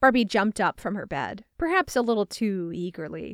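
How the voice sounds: Simply a natural reading voice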